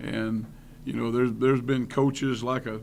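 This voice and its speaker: Audible room echo surrounds a man speaking in a Tennessee accent. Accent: Southern US (Tennessee). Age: 60s. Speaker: college football coach. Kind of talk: press conference.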